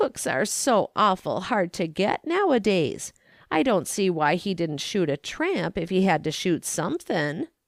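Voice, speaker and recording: A woman speaks in a put-on character voice, raspy and at medium pitch, at a moderate pace on a very clean recording with a silent background. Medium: read story. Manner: imperious, impatient, talks over others.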